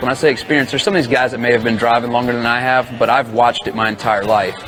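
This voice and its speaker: Over music in the background, a man with an American accent talks at a medium pitch. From North Carolina, US. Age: 30s. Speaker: monster truck driver. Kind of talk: interview. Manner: halting.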